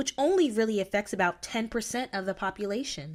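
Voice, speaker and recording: A woman speaks in an ordinary speaking voice with a fairly high pitch and lively intonation. The recording is very clean, with a silent background. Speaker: TV news reporter. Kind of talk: TV news reporter package narration.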